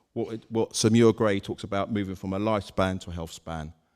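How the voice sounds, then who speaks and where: A man speaks at a very fast pace. His pitch is fairly low. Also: very clean recording, silent background. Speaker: health service manager. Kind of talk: conference talk. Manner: loud.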